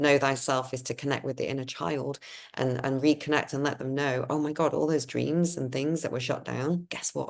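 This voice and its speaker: A woman speaks at a moderate pace. Her very deep, low voice carries vocal fry. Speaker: spiritual lightworker. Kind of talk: casual chat. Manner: animated.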